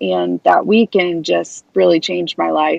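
A woman talks at a moderate pace in a Midwestern American accent. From US Midwest, Kansas City, Missouri. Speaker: author and cancer survivor advocate. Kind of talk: interview.

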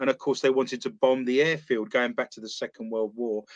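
In a quiet background, a man with a London accent speaks with ordinary pitch variation in a dry, close sound with no echo. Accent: London English, British. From East London, England. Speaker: author and paranormal investigator. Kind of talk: casual interview chat.

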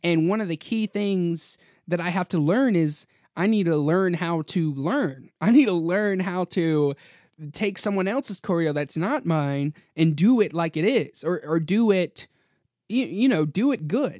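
A man with an American accent speaks in a high voice with an animated tone. The background is quiet, and the sound is dry and close with no echo. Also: lively intonation, fairly slow pace. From US South, North Carolina. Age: young. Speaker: podcast host. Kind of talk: casual solo monologue. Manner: animated, laughing often.

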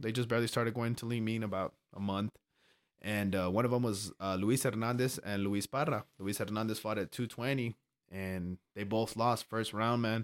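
In a very clean recording with a silent background and a dry, close sound with no echo, a man with a plain, everyday voice and an American accent speaks at a moderate pace with a medium pitch and ordinary pitch variation. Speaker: amateur MMA fighter. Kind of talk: casual chat. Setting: studio.

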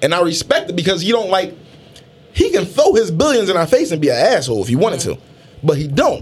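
Very fast talk from a man with an American accent, against noticeable background noise. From Philadelphia. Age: 30s. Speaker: podcast co-host. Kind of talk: casual chat. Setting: studio.

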